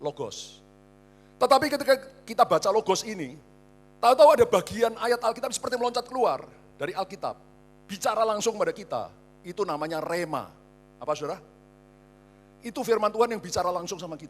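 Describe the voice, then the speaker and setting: A man's high-pitched voice at a very fast pace, lively in intonation, broken by long, frequent pauses. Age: 60s. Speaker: pastor. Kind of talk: sermon. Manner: animated.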